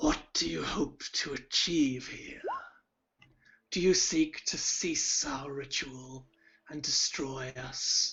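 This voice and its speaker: In a put-on character voice, someone whispers croakily at a very slow pace. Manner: menacing, interrogating.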